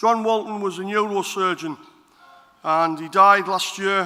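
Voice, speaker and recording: A man uses a raised, projected voice at a high pitch. His intonation is fairly even and his pace moderate. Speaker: politician. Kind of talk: conference speech. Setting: stage with audience.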